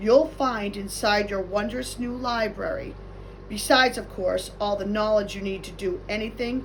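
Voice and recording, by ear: A natural voice reading aloud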